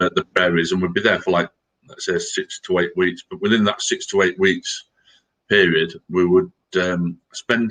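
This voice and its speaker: A Yorkshire accent at a moderate pace, in a dry, close sound with no echo. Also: man. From Yorkshire, England (Scarborough). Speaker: army veteran. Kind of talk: casual chat.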